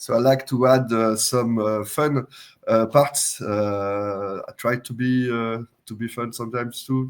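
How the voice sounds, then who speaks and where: A man with a French accent speaks at a medium pitch and with fairly even intonation. The recording is very clean, with a silent background. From France. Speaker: software company CTO and open source creator. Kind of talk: interview. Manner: hesitant, many uh fillers.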